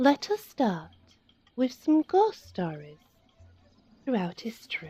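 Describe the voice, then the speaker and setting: A soft-spoken woman's dark, mellow, high-pitched voice, very slow, with very wide pitch swings and a dry, close sound with no echo. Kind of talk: bedtime story reading.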